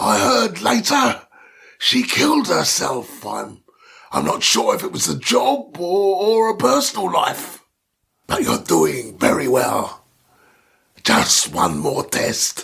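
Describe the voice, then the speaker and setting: Fairly slow delivery in a put-on character voice. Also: man, high pitch for a man. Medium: read story. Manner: sighing, hesitant, stammering.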